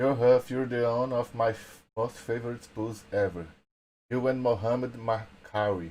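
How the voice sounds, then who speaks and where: A man with a Portuguese accent speaks with fairly even intonation. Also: medium pitch for a man, moderate pace. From Brazil. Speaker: podcast co-host. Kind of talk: casual chat. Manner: halting in English.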